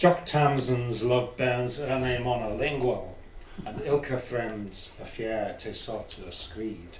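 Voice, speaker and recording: Amid noticeable background noise and audible room echo, a man speaks at a very slow pace with ordinary pitch variation and big swings in loudness. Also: medium pitch for a man. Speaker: poet. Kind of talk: poetry reading.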